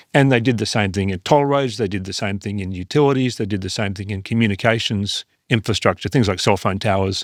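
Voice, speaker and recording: A man with an Australian accent and fairly low pitch speaks at a very fast pace with hardly any pauses and ordinary pitch variation, in a very clean recording with a silent background and a dry, close sound with no echo. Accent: Australian, sometimes taken for British. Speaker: investment firm founder and CEO. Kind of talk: podcast interview. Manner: hesitant, many fillers and repeated words.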